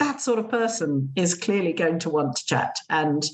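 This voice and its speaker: Her intonation lively, a woman talks with an English accent. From England. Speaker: gîte owner and blogger. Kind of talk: podcast interview. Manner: hesitant, many fillers.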